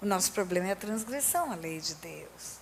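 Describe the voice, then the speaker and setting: A woman talks at a fairly slow pace in an animated tone with very wide pitch swings. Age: 60s. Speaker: pastor. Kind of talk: sermon.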